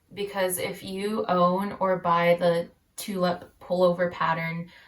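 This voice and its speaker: The speech moves at a very slow pace. Its intonation stays monotone and flat. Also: woman. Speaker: knitting podcaster. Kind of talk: casual chat. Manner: many fillers (um, uh, like).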